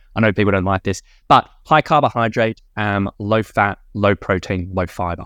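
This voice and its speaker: In an Australian accent, a man speaks at a moderate pace with ordinary pitch variation, the sound dry and close with no echo against a quiet background. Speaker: fitness coach and podcaster. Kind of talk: casual interview chat. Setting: video call.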